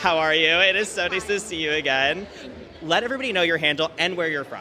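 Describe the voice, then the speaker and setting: Against noticeable background noise, a man speaks at a fairly quick pace in a high pitch with ordinary pitch variation. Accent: American. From New York. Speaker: event host. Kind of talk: live event interviews. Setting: live event backstage. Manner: animated.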